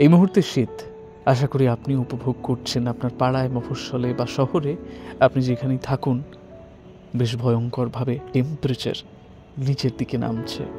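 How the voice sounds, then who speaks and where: Music plays in the background as a man speaks with a medium pitch and fairly even intonation. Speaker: late-night radio show host. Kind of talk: late-night radio show talk, casual chat to listeners.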